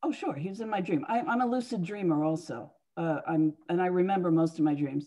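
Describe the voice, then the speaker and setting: Lively intonation and a dark, mellow tone at a fairly quick pace, over a quiet background. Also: woman, fairly low pitch for a woman. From US, moved around. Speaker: psychic and author; guest. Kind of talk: interview. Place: home room. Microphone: video call.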